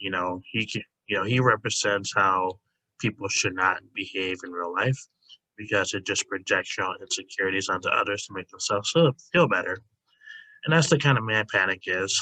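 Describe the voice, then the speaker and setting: A quiet voice with a bright, sharp tone moves at a fairly quick pace with ordinary pitch variation. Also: man, fairly low pitch for a man. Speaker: YouTuber ranking anime characters. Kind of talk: casual tier list commentary. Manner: hesitant, many fillers.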